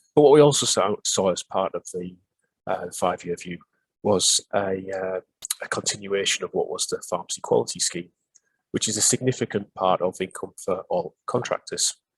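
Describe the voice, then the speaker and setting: A man with a Northeast English accent at a moderate pace, in a dry, close sound with no echo. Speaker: pharmacy superintendent presenting a webinar. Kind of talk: webinar presentation. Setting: online webinar. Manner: halting, many filler sounds.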